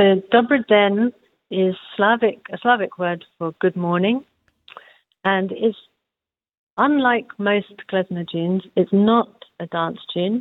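With a medium pitch and ordinary pitch variation, a woman speaks at a very slow pace, leaving long, frequent pauses. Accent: London. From London, England. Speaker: folk musician. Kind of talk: interview. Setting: phone call.

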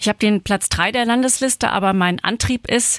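In a normal speaking voice, a woman talks at a moderate pace with fairly even intonation, the sound dry and close with no echo on a very clean recording with a silent background. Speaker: state parliament member and candidate. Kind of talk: panel interview.

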